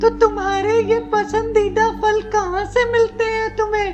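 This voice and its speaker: Loud background music plays under a cartoonish character voice that speaks at a fairly slow pace. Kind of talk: children's puppet story dialogue.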